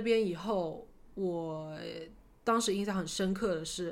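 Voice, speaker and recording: The room echo is audible as a woman talks. Her pitch is medium, with ordinary variation. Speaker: podcast co-host. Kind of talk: casual chat.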